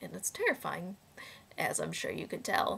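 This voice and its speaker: A raspy, female-sounding put-on character voice moves at a moderate pace. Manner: menacing.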